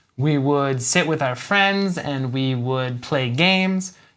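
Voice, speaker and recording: Very slow and upbeat, a man with an American accent speaks with ordinary pitch variation in a very clean recording with a silent background. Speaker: English teacher. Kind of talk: English lesson to camera. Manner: clear, upbeat.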